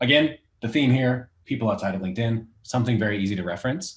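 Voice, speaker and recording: A somewhat breathy man speaks at a medium pitch with lively intonation. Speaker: recruiter. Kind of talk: tutorial. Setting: livestream with screen share. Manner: fast.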